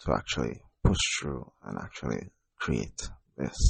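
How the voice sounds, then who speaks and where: A man speaks at a fairly slow pace with vocal fry. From Jamaica. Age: 30s. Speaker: podcast host and poet. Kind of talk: personal monologue podcast. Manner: quiet, not very loud; halting, many fillers.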